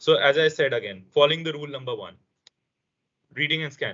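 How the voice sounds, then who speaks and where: Vocal fry marks a man's fairly high voice, which has ordinary pitch variation. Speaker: language session instructor. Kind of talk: online language lesson. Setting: video call.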